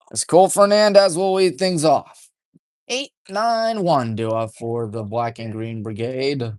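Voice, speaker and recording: Quiet background behind a man with a medium-pitched voice. He speaks fairly slowly with lively intonation. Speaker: high school baseball radio play-by-play announcer. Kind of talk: live commentary. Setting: press box at a baseball field. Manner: deliberately subdued, golf-commentator style.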